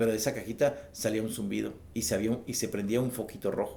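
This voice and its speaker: This man talks at a fairly quick pace with a dark, mellow tone and some vocal fry. His pitch moves in an ordinary way. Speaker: witness and book author recounting UFO encounter. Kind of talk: interview testimony. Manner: halting, many false starts.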